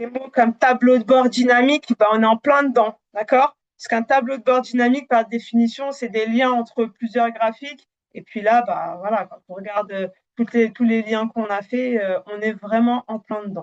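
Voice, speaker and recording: The voice keeps a moderate pace and fairly even intonation but swings widely in loudness, in a dry, close sound with no echo. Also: woman. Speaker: Power BI trainer. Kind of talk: live webinar demo. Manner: hesitant, many fillers.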